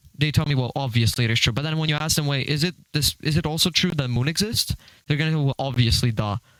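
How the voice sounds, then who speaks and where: A man speaks at a very fast pace with a fairly high pitch and ordinary pitch variation. The sound is dry and close, with no echo. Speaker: online debater. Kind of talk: heated debate. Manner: stuttering.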